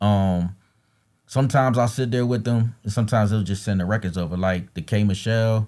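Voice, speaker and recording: Fairly quick and fairly low-pitched, a man speaks in a dark, mellow tone with fairly even intonation, on a very clean recording with a silent background. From Philadelphia. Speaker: mixtape DJ. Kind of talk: casual interview.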